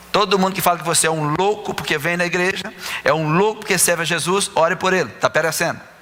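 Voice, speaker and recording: A man's high-pitched voice at a very fast pace, over noticeable background noise. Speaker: pastor. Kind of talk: sermon.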